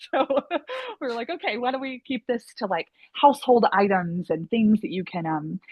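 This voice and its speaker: With an American accent, a woman speaks at a fairly quick pace. Her pitch swings very widely. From US South (Southeast). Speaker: actor and playwright. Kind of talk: interview. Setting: sit-down interview. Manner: hesitant, many fillers.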